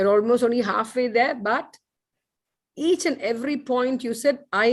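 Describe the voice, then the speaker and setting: A woman's unremarkable speaking voice, fairly high-pitched, with ordinary pitch variation and a moderate pace. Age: 60s. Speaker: doctor and clinic owner. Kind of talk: webinar speech.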